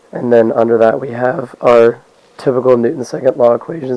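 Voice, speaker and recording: A man speaks at medium pitch with noticeable background noise behind him. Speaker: physics student. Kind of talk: lab report narration.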